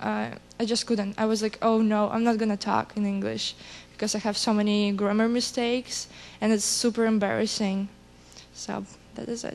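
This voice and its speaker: A woman speaks in a fairly high voice at a moderate pace. Her intonation is monotone and flat. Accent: Russian. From Russian-speaking country, immigrant. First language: Russian. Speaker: student. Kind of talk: panel discussion.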